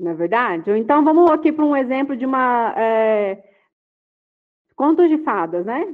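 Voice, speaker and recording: A high-pitched woman at a fairly slow pace, with very wide pitch swings and long, frequent pauses. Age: 40s. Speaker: personal development consultant. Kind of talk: online lecture. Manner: animated.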